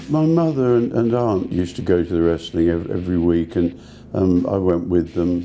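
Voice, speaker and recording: In an English accent, a man speaks at a fairly quick pace with a very deep, low pitch and ordinary variation. His loudness stays very even. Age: 70s. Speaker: pop artist, painter. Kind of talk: interview answer. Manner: hesitant, repeats words.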